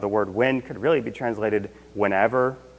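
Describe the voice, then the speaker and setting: Medium pitch, fairly even intonation and moderate speed from a man with a plain, everyday voice. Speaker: Sunday school teacher. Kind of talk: Bible teaching.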